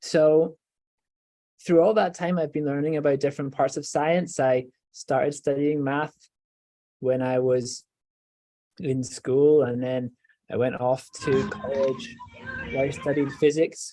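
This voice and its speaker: A man with a Scottish accent speaks at a fairly slow pace in a dark, mellow tone with ordinary pitch variation. He leaves long, frequent pauses. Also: fairly high pitch for a man. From Scotland, Edinburgh. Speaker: professor, stem cell researcher. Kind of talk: educational talk for children.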